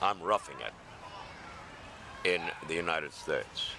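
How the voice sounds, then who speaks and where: Noticeable background noise accompanies a man who keeps a moderate pace. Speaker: homeless man. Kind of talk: interview answer. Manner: gruff, blunt.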